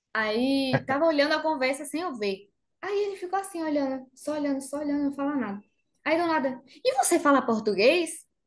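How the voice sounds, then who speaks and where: Speaking at a fairly quick pace, a woman uses a high pitch and a Spanish accent. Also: lively intonation. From Argentina, Bariloche (Patagonia). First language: Spanish (speaking Portuguese). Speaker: makeup artist. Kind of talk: interview.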